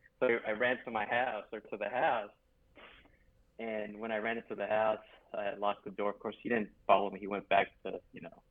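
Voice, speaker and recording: A man speaks at a fairly low pitch in a monotone, flat intonation, with big swings in loudness. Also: moderate pace. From US West, Los Angeles, California. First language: Spanish. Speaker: podcast guest. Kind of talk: casual chat.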